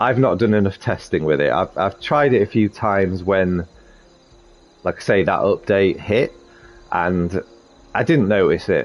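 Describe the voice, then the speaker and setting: A man with a slight Sheffield accent speaks at a moderate pace in a fairly low pitch. His loudness stays very even, broken by long, frequent pauses. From northern England, Sheffield. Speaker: gaming video creator. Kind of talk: tutorial. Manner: casual, hesitant with fillers.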